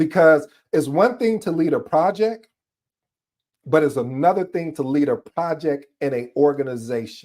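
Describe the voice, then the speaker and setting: At a moderate pace, a man with an unremarkable speaking voice talks in a fairly high pitch with lively intonation. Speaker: project management coach. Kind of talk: tutorial. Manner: casual, conversational.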